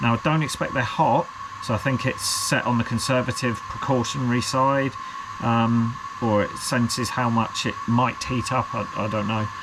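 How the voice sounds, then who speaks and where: The speaker has a British accent and a moderate pace. Noticeable background noise runs underneath. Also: man. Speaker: FPV drone hobbyist youtuber. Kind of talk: unboxing video, casual solo talk. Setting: at a workbench, alone. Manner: rambling, hesitant with many fillers.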